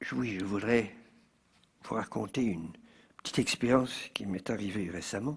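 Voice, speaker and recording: A man's voice sits at a fairly low pitch, with vocal fry. He leaves long, frequent pauses. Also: ordinary pitch variation, moderate pace. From Switzerland, canton of Vaud. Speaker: lecturer. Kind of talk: public lecture. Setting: stage with audience at a fair. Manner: hesitant, self-correcting.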